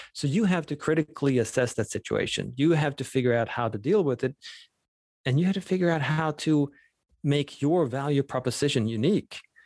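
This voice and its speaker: In a Swedish accent, a man talks at a fairly quick pace and fairly high pitch with ordinary pitch variation, recorded with a dry, close sound and no echo. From Sweden. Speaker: professor of entrepreneurship. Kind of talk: casual interview chat.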